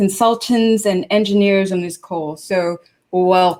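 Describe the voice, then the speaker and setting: A woman speaks at a medium pitch with ordinary variation in it. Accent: American. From Hong Kong. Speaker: business executive, presenter. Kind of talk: webinar presentation. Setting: online webinar.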